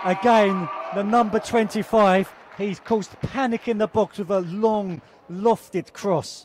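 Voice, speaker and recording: With crowd noise in the background, a high-pitched man speaks fairly slowly in a British accent. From England. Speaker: football commentator. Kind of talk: live commentary. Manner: animated.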